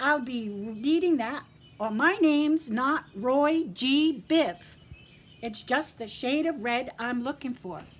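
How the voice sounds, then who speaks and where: In a put-on character voice, a woman speaks high-pitched at a fairly slow pace. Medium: read story. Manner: sly, cheeky.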